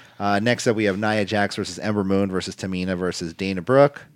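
Here a man with a fairly low pitch talks at a fairly quick pace. The recording is very clean, with a silent background. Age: 30s. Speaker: wrestling podcast host. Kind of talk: casual chat. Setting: studio. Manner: halting.

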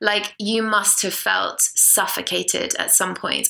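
A woman speaks at a fairly slow pace. Noticeable background noise runs beneath her voice. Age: 20s. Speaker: podcast co-host. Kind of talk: casual chat.

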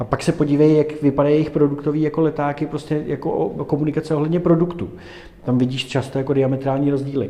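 A man's fairly high voice, very fast and monotone with flat intonation, over noticeable background noise. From Prague, Czech Republic. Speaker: entrepreneur. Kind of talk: interview.

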